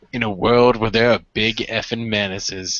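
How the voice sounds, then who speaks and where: A man puts on a booming character voice at a medium pitch, speaking at a moderate pace with flat, monotone intonation. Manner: dramatic.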